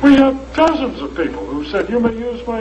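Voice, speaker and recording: A man talks at a moderate pace with very wide pitch swings. Audible room echo and noticeable background noise fill the recording. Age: 70s. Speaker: lecturer presenting a health device. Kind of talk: lecture Q&A with audience.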